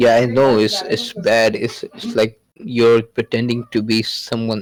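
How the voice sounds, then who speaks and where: Spoken in a Pakistani accent at a fairly slow pace, the voice keeps fairly even intonation in a dry, close sound with no echo. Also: man. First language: Urdu. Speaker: podcast guest. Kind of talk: casual chat. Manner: halting.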